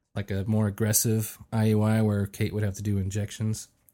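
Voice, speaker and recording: A man talks at a fairly low pitch and a moderate pace with monotone, flat intonation. The recording is very clean, with a silent background. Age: 40s. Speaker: expectant father. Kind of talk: casual chat.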